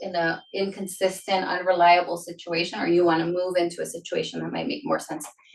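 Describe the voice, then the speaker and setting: A woman speaks at a very fast pace. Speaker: mortgage lender. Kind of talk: seminar Q&A presentation. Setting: live seminar with in-person and Zoom audience.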